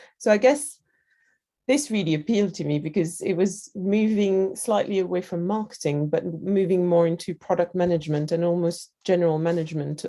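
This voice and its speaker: A woman with a French accent, fairly low and dark, mellow in tone, at a fairly quick pace with ordinary pitch variation over a quiet background. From France. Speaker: digital product lead at a creativity festival. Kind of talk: interview. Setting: video call.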